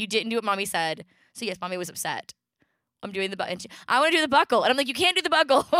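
Speaking very fast in a fairly high, bright and sharp voice, a woman swings widely in pitch and loudness, recorded dry and close with no echo. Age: 30s. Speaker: podcast co-host, mother. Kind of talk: casual chat.

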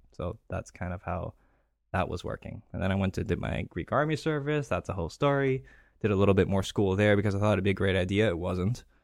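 A man's fairly low voice at a very fast pace with ordinary pitch variation, on a very clean recording with a silent background. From Greece. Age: 30s. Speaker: real estate investor. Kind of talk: interview.

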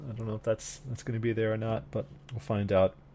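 A man with a fairly low, dark, mellow voice and vocal fry speaks at a fairly quick pace on a very clean recording with a silent background. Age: 30s. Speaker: anime podcast host. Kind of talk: casual chat.

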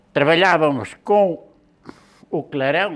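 A man's very slow delivery. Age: 80s+. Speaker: blacksmith, shears maker. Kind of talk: interview storytelling.

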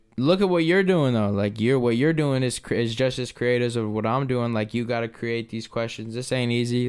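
At a fairly quick pace, a man with an unremarkable speaking voice talks at medium pitch. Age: 20s. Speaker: painter and local musician. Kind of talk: casual chat. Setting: studio.

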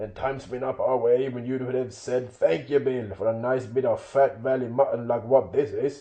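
The voice reads in a natural way.

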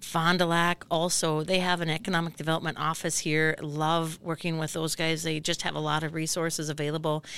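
A woman speaks with a fairly low pitch in a monotone, flat intonation. She leaves hardly any pauses. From northern Minnesota, US. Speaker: economic development nonprofit worker. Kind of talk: podcast interview. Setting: podcast booth.

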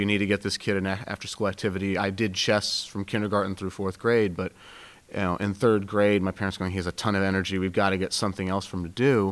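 On a very clean recording with a silent background, a man with a Pacific Northwest accent speaks at a fairly low pitch. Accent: general American (Pacific Northwest). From Seattle. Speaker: youth basketball coach and student. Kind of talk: interview.

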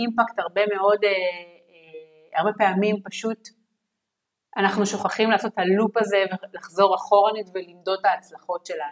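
A woman with an ordinary speaking voice talks at a medium pitch and fairly slow pace with fairly even intonation, in a dry, close sound with no echo. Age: 30s. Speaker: product management team lead. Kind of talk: interview. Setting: remote call.

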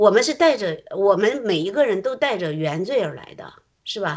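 Speaking at a fairly slow pace, a woman with a medium pitch makes very wide pitch swings. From Shandong, rural China. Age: 50s. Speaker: church member sharing testimony. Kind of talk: testimony.

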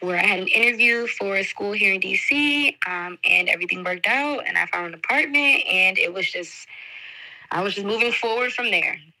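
A woman with an American accent talks at a moderate pace and fairly high pitch with lively intonation over noticeable background noise. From Detroit, Michigan, US. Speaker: teacher. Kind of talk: podcast interview.

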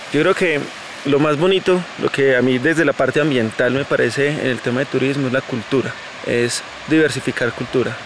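A man talks at a fairly quick pace with very even loudness. Noticeable background noise can be heard. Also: fairly high pitch for a man, ordinary pitch variation. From Colombia, Santa Rosa de Cabal (Risaralda). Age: 20s. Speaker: environmental coordinator and tour guide. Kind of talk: guided tour explanation. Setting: outdoors, walking on a mountain trail.

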